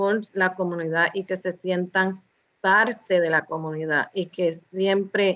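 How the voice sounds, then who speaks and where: Very slow pace and ordinary pitch variation from a woman at a medium pitch. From United States, Spanish-speaking family. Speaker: guest, bilingual community member. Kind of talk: interview conversation. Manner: halting, with many fillers.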